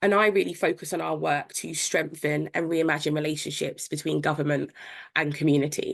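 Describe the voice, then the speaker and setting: Over a quiet background, a woman talks at a very fast pace with a very deep, low pitch, ordinary pitch variation and vocal fry. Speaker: public sector innovation specialist. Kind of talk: webinar presentation.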